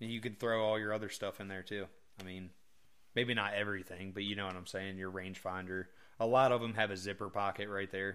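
A man with a fairly low pitch talks at a very fast pace. His intonation is flat and monotone. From northern US East Coast. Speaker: hunting podcast co-host. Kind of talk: casual chat.

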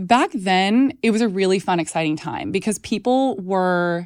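This woman speaks with an American accent and ordinary pitch variation. The recording is very clean, with a silent background. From Texas. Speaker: nutritionist and food activist. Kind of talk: casual interview chat.

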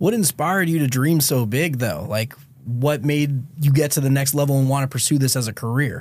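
Somewhat breathy and fairly high-pitched, a man speaks at a fairly quick pace with ordinary pitch variation and very even loudness. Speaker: podcast host. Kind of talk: podcast interview.

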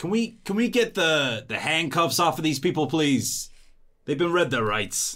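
On a very clean recording with a silent background, a man uses a put-on, rumbling character voice with a fairly high pitch at a fairly slow pace. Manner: resigned, conciliatory.

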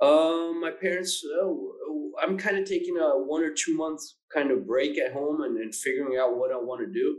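Audible room echo surrounds the speaker. A man talks at a moderate pace. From Argentina, Buenos Aires. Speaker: finance professional, private equity. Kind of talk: interview. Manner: halting, many fillers and restarts.

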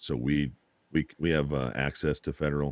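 Fairly even intonation comes through a dry, close sound with no echo. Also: man. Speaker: streamer. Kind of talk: casual chat.

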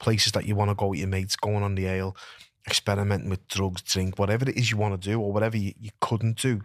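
A man with a Liverpool accent talks at a very fast pace and a fairly low pitch in monotone, flat intonation, captured in a very clean recording with a silent background and a dry, close sound with no echo. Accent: Scouse. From Liverpool, England. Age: 40s. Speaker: retired professional boxer. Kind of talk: casual chat. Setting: studio.

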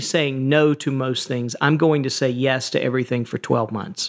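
With an American accent, a man uses an ordinary speaking voice, fairly high in pitch, with ordinary pitch variation. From Georgia, US South. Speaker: CEO and author. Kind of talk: interview conversation.

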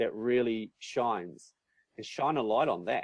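A man with a New Zealand accent speaks in a dry, close sound with no echo. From New Zealand, North Island. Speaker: business coach and event organizer. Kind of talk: interview.

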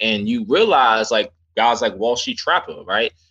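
In a New York accent, a man talks at a moderate pace with a bright, sharp tone and very wide pitch swings over a quiet background. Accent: New York (Bronx) English. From New York City, South Bronx. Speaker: options trader and teacher. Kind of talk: casual chat.

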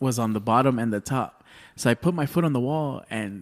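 In an American accent, a man talks in an unremarkable speaking voice at medium pitch. He moves at a fairly quick pace with ordinary pitch variation. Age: 30s. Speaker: stand-up comedian. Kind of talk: casual chat.

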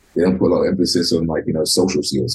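Speaking very fast with a London accent, a man uses a very deep, low pitch and a dark, mellow tone marked by vocal fry. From London, England (Tottenham). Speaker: professional wrestler. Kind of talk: interview.

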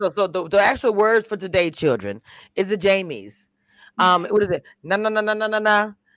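In an animated tone, a woman at medium pitch talks at a fairly quick pace. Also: ordinary pitch variation. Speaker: YouTube live panel host. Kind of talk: casual chat. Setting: online video call.

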